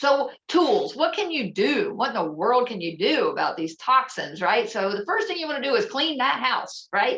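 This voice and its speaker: Someone with an American accent speaks at a moderate pace with hardly any pauses and very wide pitch swings over noticeable background noise. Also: woman, high pitch for a woman. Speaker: holistic health presenter. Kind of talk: presentation.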